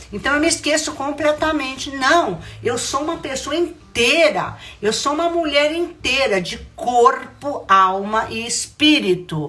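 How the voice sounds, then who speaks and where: Projected and raised, a woman's high voice carries lively intonation at a fairly slow pace, with audible room echo and noticeable background noise. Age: 70s. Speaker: spiritual mentor. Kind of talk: spiritual talk.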